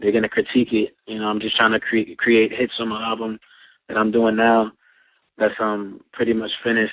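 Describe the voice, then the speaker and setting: Using a New York accent, a man at a medium pitch speaks at a fairly quick pace with monotone, flat intonation. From Brooklyn, New York. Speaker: rapper and producer. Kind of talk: interview.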